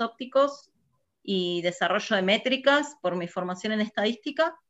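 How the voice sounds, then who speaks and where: With a bright, sharp tone and fairly high pitch, a woman talks at a moderate pace. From Argentina, Buenos Aires province (Burzaco, south zone). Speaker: physicist working in satellite industry. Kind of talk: interview. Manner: hesitant with fillers.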